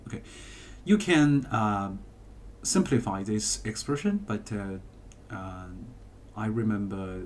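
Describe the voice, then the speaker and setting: A man with a non-native accent talks at a very slow pace. His voice is fairly low, with ordinary pitch variation. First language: not English. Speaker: math teacher. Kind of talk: tutorial. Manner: halting, many fillers.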